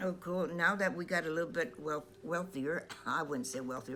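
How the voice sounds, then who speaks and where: Pitch swings very widely over music playing in the background. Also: woman. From Stockton, California. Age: 80s+. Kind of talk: personal memoir narration over photos. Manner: hesitant, halting.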